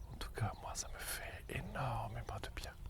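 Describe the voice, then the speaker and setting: The man is soft-spoken, with noticeable background noise around his voice. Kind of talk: ASMR soft-spoken talk to viewer. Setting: outdoors by the water. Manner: soft-spoken, slow.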